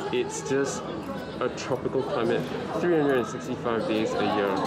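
A man with clear music in the background. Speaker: sketching vlogger. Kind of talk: casual vlog chat. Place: cafe. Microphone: phone near.

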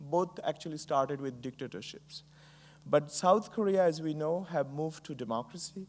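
The speaker is a man with ordinary pitch variation. He keeps a moderate pace. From Bangladesh. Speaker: entrepreneur and professor. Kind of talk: keynote speech. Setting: stage with audience. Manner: frequent fillers, hesitant. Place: stage.

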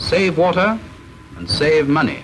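A man speaks in a stern tone with ordinary pitch variation. Music plays in the background. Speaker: film narrator. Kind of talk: scripted narration. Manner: formal, measured, brisk; stern, instructive, dry.

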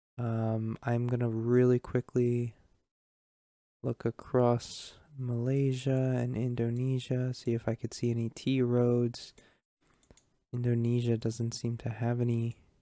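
Against a quiet background, a man speaks fairly slowly in a dark, mellow, monotone voice, the sound dry with no echo. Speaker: gamer streamer. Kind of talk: gameplay commentary.

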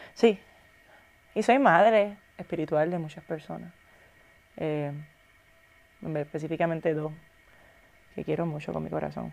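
Using big swings in loudness and long, frequent pauses, a woman talks at a moderate pace. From Puerto Rico. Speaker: actress and influencer; actress, influencer. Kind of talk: casual interview chat. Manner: animated. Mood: relaxed, reflective. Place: studio. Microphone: lapel.

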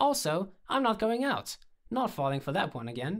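Putting on a character voice, a man pitched high speaks at a moderate pace with big pitch swings and a fairly bright tone.

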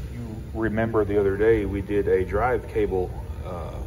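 A man's fairly slow speech is heard with noticeable noise in the background. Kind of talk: tutorial. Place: workshop. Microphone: phone near.

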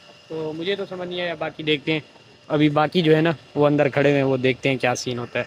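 Fairly quick and fairly high-pitched, a man talks with little pitch movement.

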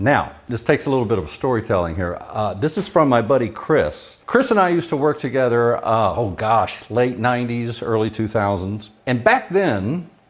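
At a moderate pace, a man speaks with hardly any pauses. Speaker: cooking channel host. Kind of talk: casual vlog chat. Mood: cheerful, storytelling. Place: kitchen. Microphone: lapel.

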